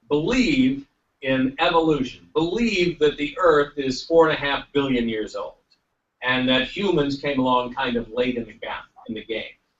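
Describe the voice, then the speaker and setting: A man with a fairly high pitch talks in an ordinary speaking voice, moving at a moderate speed with lively intonation. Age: 60s. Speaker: congressman and former television executive. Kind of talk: panel speech.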